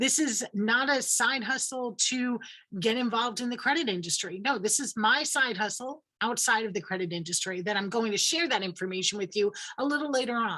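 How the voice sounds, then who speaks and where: With a New York accent, a woman speaks fairly quickly in a fairly high pitch and lively intonation. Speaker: credit coach. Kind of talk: presentation.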